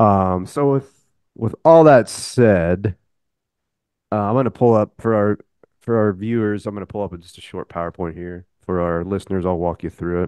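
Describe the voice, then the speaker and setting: In an ordinary speaking voice, a man at fairly low pitch talks at a moderate pace with ordinary pitch variation and big swings in loudness, in a dry, close sound with no echo over a quiet background. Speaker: podcast co-host. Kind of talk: casual chat.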